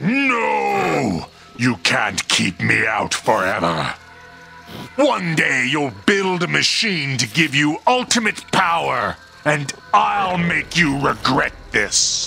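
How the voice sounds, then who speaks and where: Over clear background noise, a man uses a cartoonish character voice at a very slow pace. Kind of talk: comic puppet villain. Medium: puppet show. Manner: menacing, grandiose.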